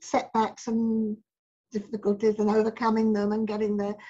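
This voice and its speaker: The woman's voice is somewhat breathy and fairly high. She talks at a moderate pace. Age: 70s. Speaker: spiritual healer and author. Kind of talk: interview answer.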